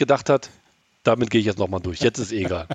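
With lively intonation and vocal fry, a man talks at a very fast pace. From Germany, East Westphalia (Gütersloh). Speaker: football fan, media worker. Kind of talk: casual podcast interview.

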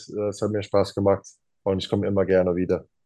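This man has an English accent and a fairly low pitch. His tone is dark and mellow. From Arizona, USA. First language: English (speaking German). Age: 30s. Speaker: professional basketball player. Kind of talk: interview. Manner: halting, many fillers.

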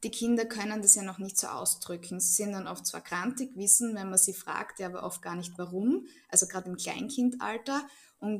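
A somewhat breathy woman speaks at a moderate pace and medium pitch with ordinary pitch variation. Her loudness rises and falls sharply. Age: 30s. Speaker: Bach flower practitioner. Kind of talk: interview.

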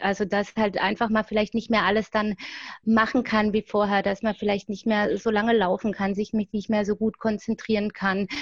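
Fairly quick and fairly high-pitched, a woman speaks in a somewhat breathy, flat monotone. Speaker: grief counselor and fanzine editor. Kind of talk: interview.

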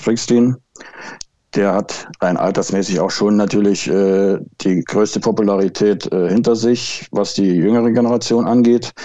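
Here a man speaks at a fairly low pitch with a dark, mellow tone. His pace is moderate and his intonation fairly even. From Thuringia, Altenburg. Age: 50s. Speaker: football blogger and fan. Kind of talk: casual chat.

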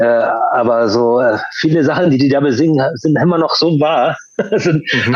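A man with a fairly high-pitched voice talks while noticeable noise runs in the background. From Hamburg, Germany (born in Chile). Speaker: punk musician. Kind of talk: interview conversation.

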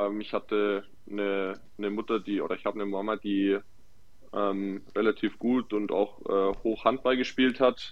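A man's fairly low-pitched voice, flat and monotone in intonation, at a moderate pace. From Nuremberg, Franconia. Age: 20s. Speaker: footballer. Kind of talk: casual chat.

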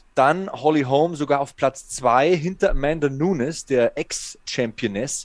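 A man with a normal speaking voice, fairly high in pitch, with ordinary pitch variation and a fairly slow pace. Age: 40s. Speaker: MMA podcast host. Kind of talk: casual chat.

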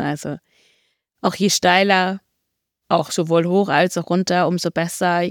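At a moderate pace, the speech is captured in a very clean recording with a silent background and a dry, close sound with no echo. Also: woman. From northern Germany, near Hamburg. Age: 30s. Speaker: trail runner and biochemist. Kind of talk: casual interview.

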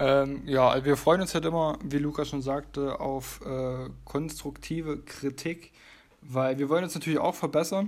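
A man speaks at a fairly slow pace in a fairly high pitch, his intonation fairly even, with a plain, everyday voice. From Leipzig, Saxony. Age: 20s. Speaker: podcast co-host, physiotherapist. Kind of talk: casual podcast chat.

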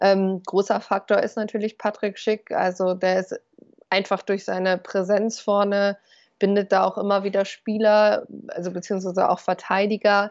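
The woman speaking has a medium pitch. Her intonation is monotone and flat, at a moderate pace. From Germany, East Westphalia. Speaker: football podcaster, fan. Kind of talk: casual chat. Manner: halting, many fillers.

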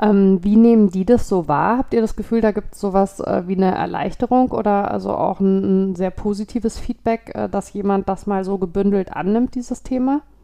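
A woman speaks at a moderate pace and medium pitch with ordinary pitch variation and hardly any pauses. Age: 40s. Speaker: podcast host. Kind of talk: interview. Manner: halting, many fillers.

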